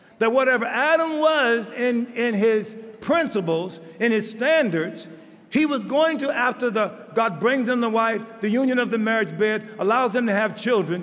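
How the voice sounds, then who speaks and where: A man's extremely high-pitched voice, very even in loudness, with ordinary pitch variation, a moderate pace, audible room echo and noticeable background noise. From Baltimore, US. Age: 70s. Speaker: bishop. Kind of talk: conference speech.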